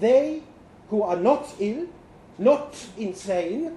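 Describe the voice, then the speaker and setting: With noticeable background noise behind him, a man speaks at a very slow pace with very wide pitch swings. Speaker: performer reading a short story aloud. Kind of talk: literary audiobook reading, first-person story narration. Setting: stage with audience at live storytelling event.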